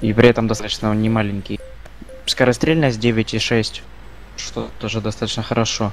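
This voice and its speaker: Over noticeable background noise, a man with medium pitch speaks at a moderate pace in a monotone, flat intonation, with long, frequent pauses. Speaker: gaming streamer. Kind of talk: casual gameplay chat.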